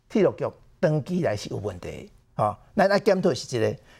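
Speaking at a very fast pace, a man's fairly high voice makes very wide pitch swings and carries vocal fry. The recording is very clean, with a silent background. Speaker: political commentator. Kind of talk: political talk show commentary.

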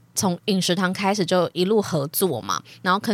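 On a very clean recording with a silent background, a woman with an unremarkable speaking voice and medium pitch talks at a fairly quick pace. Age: 20s. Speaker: podcast host. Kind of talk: casual chat.

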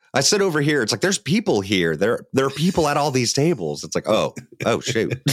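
A man with an American accent, fairly high pitch, vocal fry, very wide pitch swings and a fairly quick pace. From Ohio. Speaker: tabletop game master, podcaster. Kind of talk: casual chat. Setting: video call.

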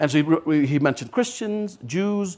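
In a Californian accent, a man speaks at a high pitch and a moderate pace, his voice making very wide pitch swings. The recording is very clean, with a silent background. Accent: Californian American. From Los Angeles, San Fernando Valley. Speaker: government official. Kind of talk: panel discussion. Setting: stage with audience.

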